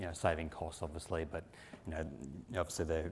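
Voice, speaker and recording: This man speaks with an Australian accent. The recording is very clean, with a silent background. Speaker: company executive presenting at industry conference. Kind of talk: conference presentation. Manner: frequent filler words (um, uh).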